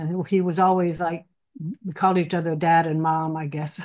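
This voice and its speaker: A woman speaks in a fairly low pitch with a dark, mellow tone. Her intonation is monotone and flat, over a quiet background. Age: 80s+. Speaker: actress and co-author, widow of a film star. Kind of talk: interview. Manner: halting.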